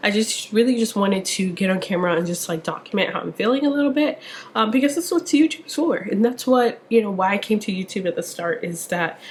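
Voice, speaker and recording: Over noticeable background noise, a woman speaks in an animated tone at a fairly high pitch. Her pitch swings very widely. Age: 20s. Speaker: lifestyle vlogger. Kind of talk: casual vlog monologue.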